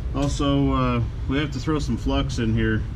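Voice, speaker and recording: A man's very deep, low voice over noticeable background noise. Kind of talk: tutorial. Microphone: phone near.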